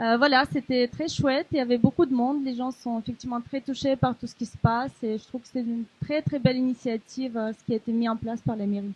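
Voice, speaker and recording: The speech runs at a very fast pace with hardly any pauses, big swings in loudness and ordinary pitch variation. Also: woman, high pitch for a woman. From Ukraine. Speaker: volunteer. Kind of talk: testimony. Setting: café event with audience. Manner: hesitant.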